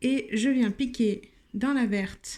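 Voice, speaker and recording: This woman's voice is high in pitch with a dark, mellow tone. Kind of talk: tutorial.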